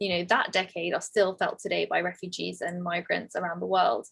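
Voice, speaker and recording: A London accent with vocal fry. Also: woman. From England. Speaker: tech entrepreneur. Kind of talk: interview. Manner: fast.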